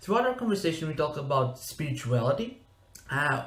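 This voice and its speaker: This speaker has a non-native accent. Audible room echo surrounds the voice. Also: man. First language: not English. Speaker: podcast host. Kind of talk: interview. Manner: halting.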